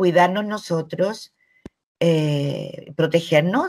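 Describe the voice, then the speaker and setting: Somewhat breathy and fairly low in pitch, a woman talks with ordinary pitch variation on a very clean recording with a silent background. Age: 70s. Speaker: journalist. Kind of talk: interview answers.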